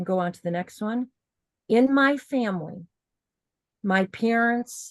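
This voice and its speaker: In a dry, close sound with no echo, a woman speaks at a very slow pace with ordinary pitch variation. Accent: American. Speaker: workshop teacher. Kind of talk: online workshop class.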